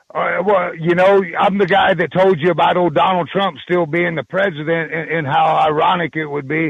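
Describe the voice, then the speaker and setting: Using vocal fry, a man with a fairly high pitch talks at a moderate pace with ordinary pitch variation. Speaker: caller. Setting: phone call.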